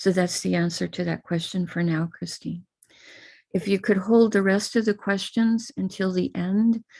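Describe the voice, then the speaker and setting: With an American accent, a woman speaks at a moderate pace, medium pitch and fairly even intonation. Her tone is dark and mellow, somewhat breathy, over a quiet background. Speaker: spiritual teacher leading puja. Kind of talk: live online ritual instruction.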